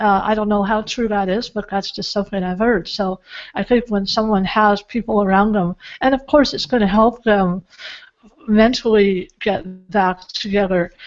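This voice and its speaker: This woman has a normal speaking voice with a medium pitch. She talks at a moderate pace with fairly even intonation. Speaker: author and speaker, show host. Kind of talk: interview host talk.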